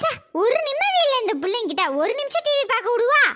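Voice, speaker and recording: Doing a cartoonish character voice, a woman talks at an extremely high pitch with very wide pitch swings, a fairly quick pace and very even loudness. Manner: sharp, scolding.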